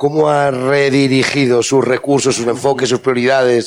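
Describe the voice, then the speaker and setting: A man with a Spanish accent speaks at a medium pitch over noticeable background noise. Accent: Spanish (Spain). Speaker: journalist and panel moderator. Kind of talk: moderated panel discussion. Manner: halting, many repetitions.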